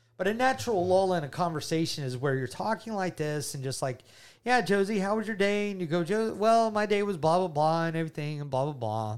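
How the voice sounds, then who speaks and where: This man speaks in a Southern US accent with an animated tone and very wide pitch swings. The recording is very clean, with a silent background. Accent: Southern US (Georgia). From US South, Georgia. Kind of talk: casual faith chat and testimony.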